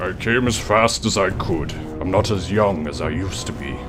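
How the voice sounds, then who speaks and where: A man's put-on character voice, very deep and low-pitched, over loud background music. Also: moderate pace. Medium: audio drama.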